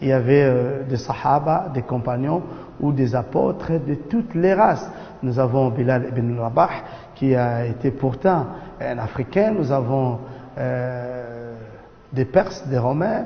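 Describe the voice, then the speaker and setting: Long, frequent pauses break up very slow speech in a non-native accent, with ordinary pitch variation, audible room echo, and noticeable background noise. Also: man, medium pitch for a man. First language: not French (speaking French). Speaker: imam. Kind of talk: religious lecture. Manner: halting, many hesitations.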